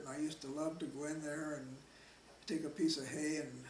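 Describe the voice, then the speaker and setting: Over noticeable background noise and audible room echo, a man with a Midwestern US accent speaks in a monotone, flat delivery. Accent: US Midwest. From Nebraska, Omaha. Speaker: oral history interviewee. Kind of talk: oral history interview. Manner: halting, repeats words.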